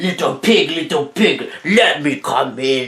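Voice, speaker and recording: A man puts on a character voice at a fairly high pitch. He goes at a fairly slow pace. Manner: menacing.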